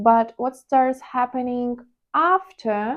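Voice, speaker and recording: A woman speaks with a Ukrainian accent. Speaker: trading vlogger. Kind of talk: personal vlog monologue. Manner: hesitant, with fillers.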